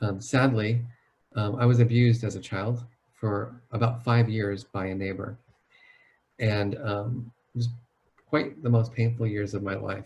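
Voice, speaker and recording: A man talks at a fairly slow pace and medium pitch, his voice somewhat breathy. His intonation stays fairly even, broken by long, frequent pauses. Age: 50s. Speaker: psychologist. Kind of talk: webinar talk.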